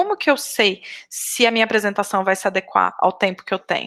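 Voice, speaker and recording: Recorded very cleanly against a silent background, a woman speaks with a bright, sharp tone, a fairly high pitch, lively intonation and vocal fry. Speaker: biology researcher and lecturer. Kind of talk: lecture. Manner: fast.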